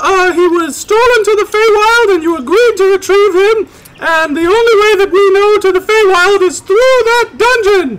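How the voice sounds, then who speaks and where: A squeaky put-on character voice at an extremely high pitch, a moderate pace with hardly any pauses, and clear background noise. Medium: actual play. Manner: condescending, impatient.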